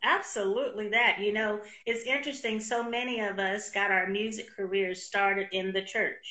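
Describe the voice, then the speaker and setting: At a moderate pace, a woman with an American accent speaks at a fairly high pitch. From San Francisco, California. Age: 50s. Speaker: interview show host and podcaster. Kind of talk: casual interview chat. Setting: live video stream from a studio. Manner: animated, warm.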